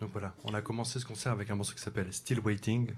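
On a very clean recording with a silent background, a man speaks at a moderate pace with a fairly low pitch. His voice is somewhat breathy and his intonation monotone and flat. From Champagne-Ardenne, France. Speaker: jazz saxophonist. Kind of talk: on-stage announcements at a concert. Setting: jazz club stage with live audience. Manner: halting, many hesitations.

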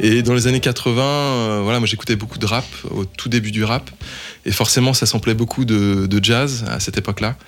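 A man at medium pitch, moderate in pace, with fairly even intonation over music in the background. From France, Lyon. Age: 50s. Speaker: record label founder. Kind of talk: radio interview.

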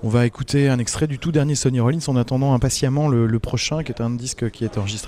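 There is noticeable background noise behind a man's voice. His pitch variation is ordinary. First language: French. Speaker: jazz radio host and interviewer. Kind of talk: live radio interview with interpreting. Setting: live broadcast at a jazz festival. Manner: halting, many hesitations.

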